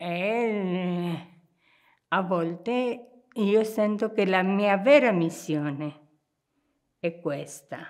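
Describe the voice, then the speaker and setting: The speaker goes at a very slow pace with ordinary pitch variation and long, frequent pauses. The background is quiet. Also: woman. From Argentina. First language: Spanish (speaking Italian). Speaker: nun. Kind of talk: interview. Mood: warm, reflective. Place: home room.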